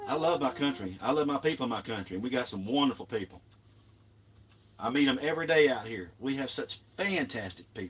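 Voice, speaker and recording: Lively intonation and a fairly brisk pace mark this man's speech, with background noise clearly noticeable. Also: medium pitch for a man. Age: 60s. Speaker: RV travel vlogger. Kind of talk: casual live stream chat. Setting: outdoors in desert camp. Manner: passionate.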